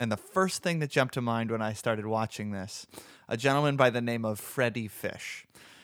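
Medium-pitched male speech, very cleanly recorded against total background silence. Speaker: podcast co-host. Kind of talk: casual chat. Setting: studio.

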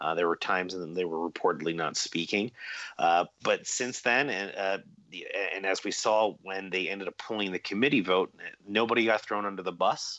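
This man has a plain, everyday voice, pitched fairly low, with ordinary pitch variation. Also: moderate pace. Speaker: reporter. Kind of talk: interview.

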